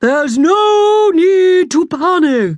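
This put-on character voice sits at an extremely high pitch. It is delivered loudly. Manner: booming, reassuring.

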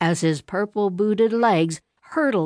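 Ordinary pitch variation marks an unforced reading voice. Nothing much stirs in the quiet background.

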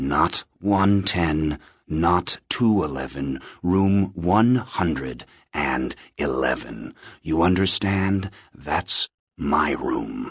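In a put-on character voice, a man speaks at a very slow pace with extremely low pitch, a slightly husky edge and lively intonation.

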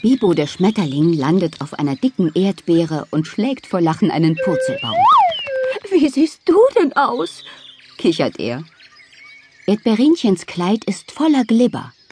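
A woman at medium pitch in a gentle, warm tone, fairly slow with long, frequent pauses and very wide pitch swings, music playing behind her. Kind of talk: audiobook children's bedtime story reading, narrated fairy tale. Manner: animated, playful, lively storytelling tone with character voices; gentle, warm, cheerful pacing suited to small children.

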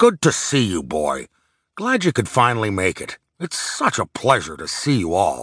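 A man in a put-on character voice booms at medium pitch and a moderate pace, with big swings in loudness and a dry, close sound with no echo. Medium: read story. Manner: hearty, fatherly.

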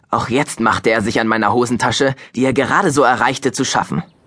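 A man with a medium pitch and ordinary pitch variation talks at a fairly quick pace in a bright, sharp tone.

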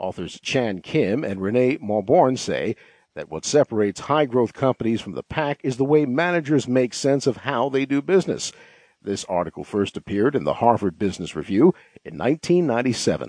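A normal speaking voice moves at a fairly quick pace with lively intonation. The sound is dry and close, with no echo. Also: man, medium pitch for a man. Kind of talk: audiobook narration, reading a business article aloud. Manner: formal, measured, even-paced; clear and polished, read from a script.

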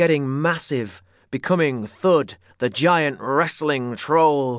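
A man with a fairly high pitch, an ordinary speaking voice and ordinary pitch variation, against a quiet background. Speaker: audiobook narrator. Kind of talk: scripted narration of a children's story, dramatic with character voices. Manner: swapping into gruff bully and shouting shopkeeper voices.

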